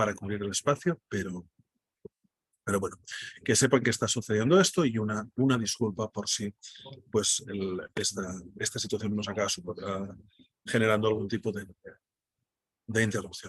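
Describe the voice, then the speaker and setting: A man talks with a Catalan accent. His pitch is fairly low and his pace fairly quick. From Spain, Catalonia. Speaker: data journalist, workshop speaker. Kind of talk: online workshop presentation. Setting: video call from airport restaurant.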